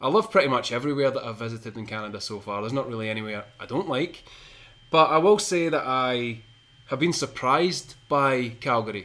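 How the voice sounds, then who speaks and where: With a Scottish accent, a man speaks fairly quickly in a bright, sharp tone at medium pitch, with lively intonation and big swings in loudness. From Scotland (Shotts, between Glasgow and Edinburgh). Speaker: podcast co-host. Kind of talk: casual chat.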